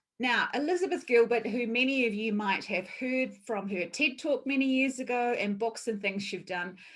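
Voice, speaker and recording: With hardly any pauses, a woman with a New Zealand accent speaks at a high pitch with lively intonation. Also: moderate pace. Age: 50s. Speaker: workshop presenter. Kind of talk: online talk.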